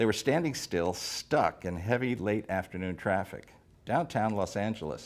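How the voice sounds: A natural reading voice, its pitch moving in an ordinary way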